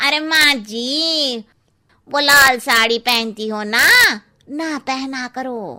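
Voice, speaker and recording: A woman's cartoonish character voice, high in pitch, very slow in pace, with ordinary pitch variation. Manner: blunt, cheeky.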